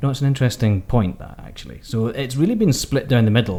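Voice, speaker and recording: A man in a Scottish accent speaks at a very fast pace, his medium-pitched voice somewhat breathy with a dark, mellow tone. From Scotland. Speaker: podcast co-host, cruise magazine editor. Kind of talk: casual chat.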